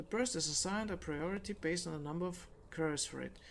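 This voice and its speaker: The pace is fairly quick. The speaker has a non-native accent. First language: not English. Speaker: gaming YouTuber. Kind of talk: reading aloud; casual chat. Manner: halting, self-correcting.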